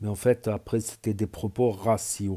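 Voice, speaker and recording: A man talks at a medium pitch and a very slow pace, with fairly even intonation and a dark, mellow tone. The recording is very clean, with a silent background. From south-west France. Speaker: YouTuber. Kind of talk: reaction video commentary. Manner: hesitant, many fillers.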